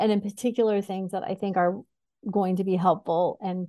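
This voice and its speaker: A woman with an American accent has a plain, everyday voice at a medium pitch. Her intonation is fairly even. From US Northeast (New York State, Syracuse). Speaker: executive coach. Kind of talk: podcast interview.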